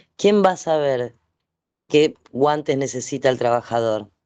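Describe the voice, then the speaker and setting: This man's pitch is fairly high, and he talks at a fairly slow pace. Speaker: event moderator. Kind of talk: panel discussion.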